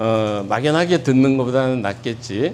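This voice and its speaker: Speaking with ordinary pitch variation, a man is heard with audible echo from the room. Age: 60s. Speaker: pastor. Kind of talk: lecture. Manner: informal, with many fillers.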